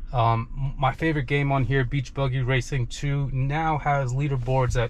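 A somewhat breathy man is heard in a dry setting with no echo, over light background noise. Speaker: car owner reviewing an update. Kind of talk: casual vlog chat. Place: car. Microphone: phone near.

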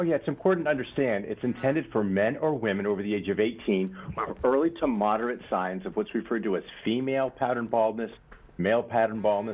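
This man talks at a very fast pace. His medium-pitched voice has lively intonation. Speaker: clinical research director. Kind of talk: sales pitch.

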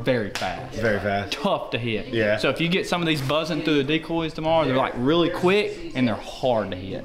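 A man at a fairly quick pace with hardly any pauses, amid noticeable background noise. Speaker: hunting guide. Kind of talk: casual explanation. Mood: upbeat, friendly. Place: home room. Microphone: camera far.

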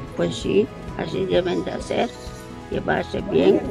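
Clear music sits behind the voice. The woman talks at a fairly slow pace. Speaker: interviewed wife. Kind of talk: interview answer. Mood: warm, reflective. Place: garden. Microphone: phone near.

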